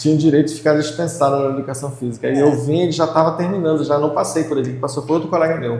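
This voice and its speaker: In a room with audible echo and noticeable background noise, a man with a fairly high pitch races along at a very fast pace with hardly any pauses and monotone, flat intonation. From Brazil, Pará (Belém). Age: 60s. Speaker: retired physical education teacher. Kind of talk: interview.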